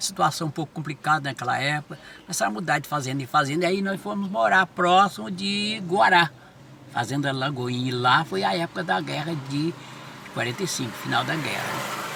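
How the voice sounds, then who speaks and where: Noticeable background noise accompanies a man speaking at a fairly quick pace, fairly high pitch and lively intonation. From Brazil, São Paulo state (Franca region). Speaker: pastor. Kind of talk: life-story interview. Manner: halting, repetitive.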